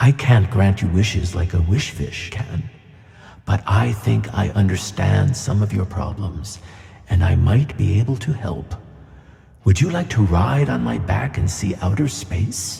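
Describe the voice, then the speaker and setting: With a clear echo, a man does a put-on character voice, fairly low in pitch and fairly slow. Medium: audio drama. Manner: gentle and kindly.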